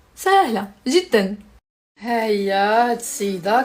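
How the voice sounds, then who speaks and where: A woman's voice, fairly high in pitch. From Morocco, Tangier. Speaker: social media influencer. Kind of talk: casual live stream chat. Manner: animated.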